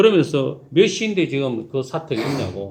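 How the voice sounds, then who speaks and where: In a Daegu accent, a man speaks with vocal fry and very wide pitch swings. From South Korea, Daegu (Gyeongsang). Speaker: pastor. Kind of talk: sermon.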